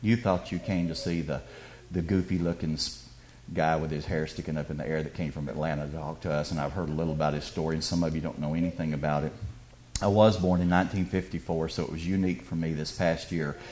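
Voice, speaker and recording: A man talks at a very fast pace with a Southern US accent. His pitch is very deep and low. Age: 50s. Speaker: guest speaker. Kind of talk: testimony. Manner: animated.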